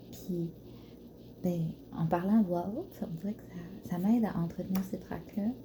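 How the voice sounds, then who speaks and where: The speaker is whispering and soft-spoken. The pace is fairly slow. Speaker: ASMR creator, floristry student. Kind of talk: ASMR soft talking, casual musings to camera. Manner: soft-spoken, whispered, gentle.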